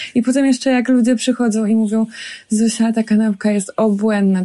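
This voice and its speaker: Quick-paced and fairly high in pitch, a woman speaks in a dark, mellow tone. Her voice is somewhat breathy. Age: 30s. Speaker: chef and restaurant owner. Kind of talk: casual interview. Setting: outdoors in a forest.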